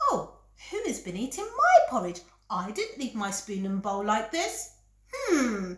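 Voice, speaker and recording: A woman uses a put-on character voice pitched fairly high. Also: fairly slow pace. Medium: read story.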